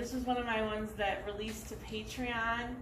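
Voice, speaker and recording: A woman at a moderate pace amid loud background noise. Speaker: poet reading own poems. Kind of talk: poetry reading, performed poem. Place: stage. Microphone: camera far.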